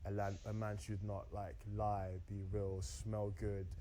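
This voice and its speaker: The man's pitch sits fairly low, and his intonation stays fairly even. There is audible room echo around him. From Austria, moved to UK at 14. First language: German. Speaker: dating show contestant. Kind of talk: casual chat.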